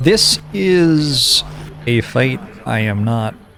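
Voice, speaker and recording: Music plays in the background as a man speaks. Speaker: video game streamer. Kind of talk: live gameplay commentary. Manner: calm.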